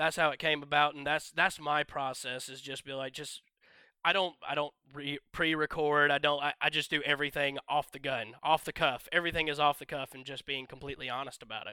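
Dry and close with no echo, a man with a Southern US accent speaks fairly quickly at a fairly high pitch in a bright, sharp tone, his intonation monotone and flat but his loudness swinging widely. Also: very clean recording, silent background. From US South, northwest Georgia. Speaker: YouTube gaming channel creator, tabletop wargamer. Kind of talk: casual chat.

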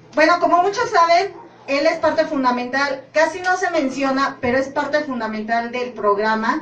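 A high-pitched woman at a moderate pace with lively intonation, with audible room echo and noticeable background noise. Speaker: sonidero organization member. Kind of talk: casual chat.

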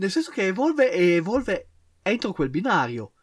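At a moderate pace, a man with a high voice makes very wide pitch swings in a very clean recording with a silent background. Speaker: podcast co-host. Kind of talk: casual chat.

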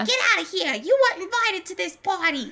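A put-on character voice at an extremely high pitch, very fast, with very wide pitch swings. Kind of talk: street, brash. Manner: shouting.

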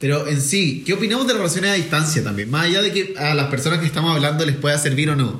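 Speaking very fast with a Chilean accent, a man uses a fairly high pitch and lively intonation, keeps his loudness very even and hardly pauses, against noticeable background noise and audible room echo. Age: 20s. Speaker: podcast host. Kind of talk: casual chat.

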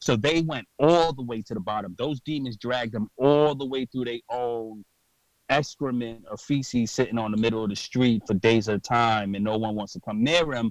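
A man with a New York accent talks at a moderate pace and medium pitch, animated in tone with ordinary pitch variation, the sound dry and close with no echo. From New York, Brooklyn. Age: 30s. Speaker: podcaster and clothing designer in recovery. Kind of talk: interview.

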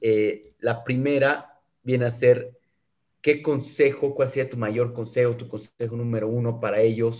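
At a fairly slow pace, a man speaks in a somewhat breathy voice at medium pitch with monotone, flat intonation. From South America. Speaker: podcast host. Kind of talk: interview. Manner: halting, frequent fillers.

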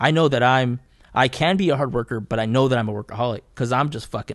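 Talking at a very fast pace, a man speaks in a Californian accent. His pitch is medium, with ordinary variation. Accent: Californian American English. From Southeast Fresno, California. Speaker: artist, painter. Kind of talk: casual chat.

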